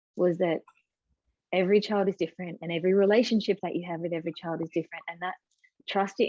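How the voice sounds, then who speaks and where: In an Australian accent, a woman with a dark, mellow tone and fairly low pitch speaks with monotone, flat intonation in a dry, close sound with no echo. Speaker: mother of four, writer and writing coach. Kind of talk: podcast interview.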